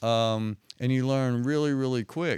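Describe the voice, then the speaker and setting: With a strong southwest Virginia accent, a man speaks at a moderate pace. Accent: heavy southwest Virginia. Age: 60s. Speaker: retired undercover police officer. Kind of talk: interview storytelling. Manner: casual, conversational.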